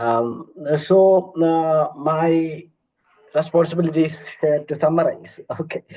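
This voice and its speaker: At a very slow pace, a man talks in a fairly high, dark, mellow voice with fairly even intonation. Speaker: NGO monitoring and evaluation lead. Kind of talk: concluding remarks in a webinar. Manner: halting.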